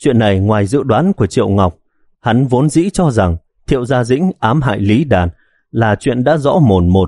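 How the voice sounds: Lively intonation marks a natural reading voice over a quiet background.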